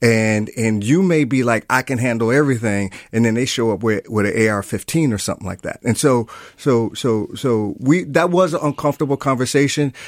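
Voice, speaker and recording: With an American accent, an unremarkable speaking voice moves at a fairly quick pace with ordinary pitch variation on a very clean recording with a silent background. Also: man, medium pitch for a man. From Milwaukee, US Midwest. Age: 50s. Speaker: therapist. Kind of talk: radio interview.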